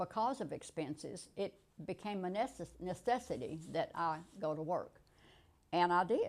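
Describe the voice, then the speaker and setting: A woman's unremarkable speaking voice at medium pitch, with lively intonation and a moderate pace. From rural US. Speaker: interviewee, retired manager. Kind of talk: interview.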